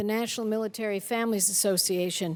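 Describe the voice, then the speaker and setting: Here is a woman with an unremarkable speaking voice, fairly high in pitch. She keeps a moderate pace and fairly even intonation. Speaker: U.S. senator speaking on the Senate floor. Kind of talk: formal Senate floor speech.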